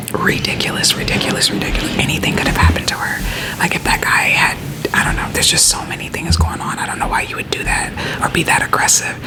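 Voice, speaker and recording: A woman whispers very fast with hardly any pauses. Music plays in the background. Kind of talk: ASMR friend-roleplay whisper rant, casual talk to camera. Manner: whispered, conversational, chatty.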